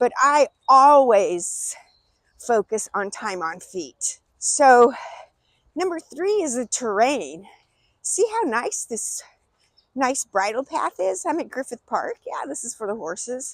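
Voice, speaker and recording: With very wide pitch swings, a woman speaks high and at a very slow pace, the sound dry and close with no echo. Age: 60s. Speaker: running coach. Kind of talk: vlog tutorial. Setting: outdoors in a park. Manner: casual.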